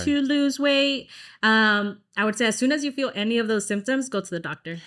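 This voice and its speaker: The speaker talks at a fairly quick pace with a Texan accent. The recording is very clean with a silent background, and the pitch varies in an ordinary way. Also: woman, fairly high pitch for a woman. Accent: Texan American English. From Dallas, Texas. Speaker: singer. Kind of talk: interview answer.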